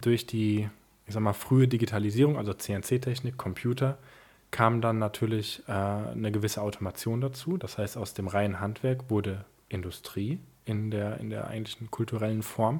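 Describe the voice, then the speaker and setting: A man speaks at a moderate pace with a fairly low pitch and a somewhat breathy voice. The recording is very clean, with a silent background. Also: fairly even intonation. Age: 20s. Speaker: family business successor and founder. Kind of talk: interview.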